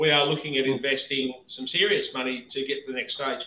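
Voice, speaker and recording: At a moderate pace, a man with an Australian accent talks in a fairly high pitch. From Victoria, Australia. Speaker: whisky distiller. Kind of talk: casual chat.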